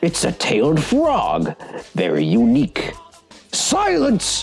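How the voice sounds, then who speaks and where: The speaker uses a put-on character voice at a very slow pace. Faint music plays in the background. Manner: theatrical, villainous.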